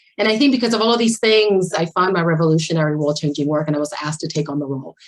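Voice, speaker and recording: Lively intonation drives very fast speech with a Spanish accent. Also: woman. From Puerto Rico. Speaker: architect and equity director. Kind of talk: panel presentation.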